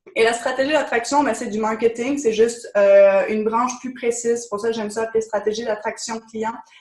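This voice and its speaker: Fairly high in pitch, a woman speaks at a fairly quick pace with fairly even intonation. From France. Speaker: business coach. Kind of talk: webinar presentation.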